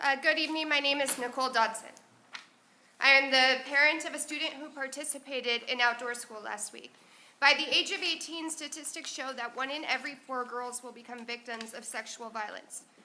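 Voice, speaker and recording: A woman projects a raised, high-pitched voice in a bright, sharp tone, with fairly even intonation and big swings in loudness. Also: fairly quick pace. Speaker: parent giving public comment. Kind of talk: prepared public comment read aloud. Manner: fast.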